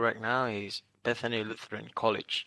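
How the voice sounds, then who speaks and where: With a Vietnamese accent, a man speaks at medium pitch in a bright, sharp tone, the sound dry and close with no echo against a quiet background. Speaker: international student. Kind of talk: interview. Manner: halting.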